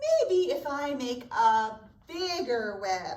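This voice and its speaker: A woman's put-on character voice, high-pitched and very slow, with very wide pitch swings and audible echo. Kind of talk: bedtime story. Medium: read story.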